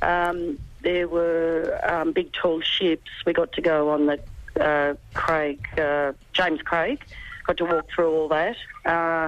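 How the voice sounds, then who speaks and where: This woman has an Australian accent. She talks very slowly. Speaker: sailor. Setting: phone call from airport.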